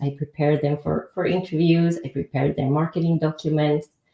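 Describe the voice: With a low pitch and a dark, mellow tone, a woman speaks in fairly even intonation.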